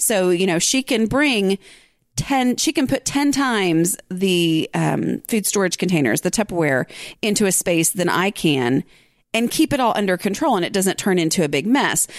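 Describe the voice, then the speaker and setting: On a very clean recording with a silent background and a dry, close sound with no echo, a woman at medium pitch speaks at a moderate pace, her pitch swinging very widely while her loudness stays very even. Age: 40s. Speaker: podcast host and blogger. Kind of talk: casual solo podcast talk.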